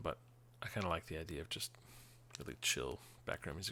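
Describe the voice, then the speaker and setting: Very fast speech with vocal fry and a bright, sharp tone. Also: man. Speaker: gaming streamer. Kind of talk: live game stream chat. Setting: home, quiet so children stay asleep.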